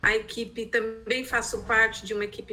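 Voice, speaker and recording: A woman's fairly high-pitched voice with a bright, sharp tone. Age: 60s. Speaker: researcher and art therapy educator. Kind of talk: training presentation. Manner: halting, many hesitations.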